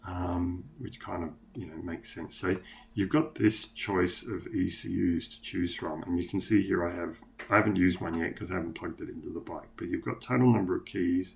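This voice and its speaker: Somewhat breathy, the voice moves at a fairly quick pace with big swings in loudness and ordinary pitch variation. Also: man, very deep, low pitch for a man. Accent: Australian. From Australia. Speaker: motorcycle tuning vlogger. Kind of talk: screen-share tutorial. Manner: casual, hesitant with many fillers.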